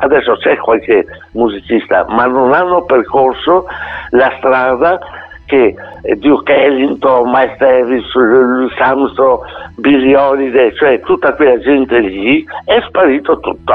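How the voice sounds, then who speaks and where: A man at a medium pitch with ordinary pitch variation, very even loudness and a fairly slow pace, over noticeable background noise. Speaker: jazz trumpeter. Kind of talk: interview. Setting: radio interview.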